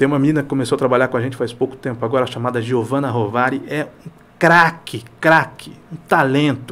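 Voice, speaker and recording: Talking at a fairly quick pace, a man uses an unremarkable speaking voice of medium pitch with fairly even intonation. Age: 40s. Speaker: news and opinion show presenter. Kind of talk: casual chat. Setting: studio.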